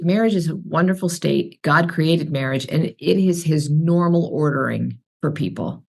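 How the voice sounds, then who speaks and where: A woman with a very deep, low pitch and vocal fry talks at a moderate pace with ordinary pitch variation. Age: 60s. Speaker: author and speaker. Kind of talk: podcast interview.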